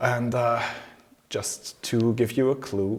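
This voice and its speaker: A man talks with a German accent. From Germany. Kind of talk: casual talk to camera.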